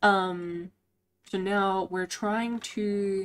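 A woman speaks at medium pitch with a clear, smooth tone. She keeps fairly even intonation and a very slow pace.

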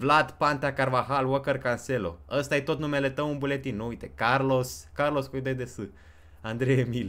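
Vocal fry at a moderate pace. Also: man. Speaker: gaming streamer. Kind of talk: live stream chat. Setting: home. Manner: animated.

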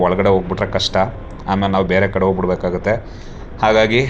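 A man with fairly low pitch talks over noticeable background noise. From southern Karnataka, Mysuru district. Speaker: travel vlogger. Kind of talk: travel vlog narration. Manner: animated.

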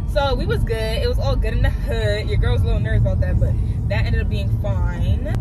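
The speech comes at a very fast pace. The sound is dry with no echo, but loud background noise is present. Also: woman. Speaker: student vlogger. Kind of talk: casual vlog chat. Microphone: phone near.

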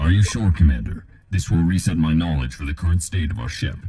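A man puts on a character voice with a very deep, low pitch. He talks at a very fast pace. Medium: voice pack for a game companion app. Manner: dry, dutiful, humorous.

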